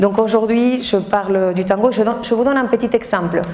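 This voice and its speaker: Over noticeable background noise, a woman with an Argentine accent talks at a moderate pace with fairly even intonation. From Argentina. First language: Spanish (speaking French). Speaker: tango teacher and dancer. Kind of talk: talk to an audience. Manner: halting.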